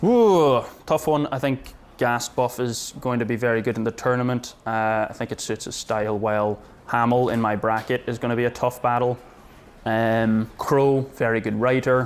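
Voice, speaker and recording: In an Irish accent, a man talks at a medium pitch with fairly even intonation. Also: moderate pace. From Ireland. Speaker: battle rapper. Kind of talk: pre-battle interview.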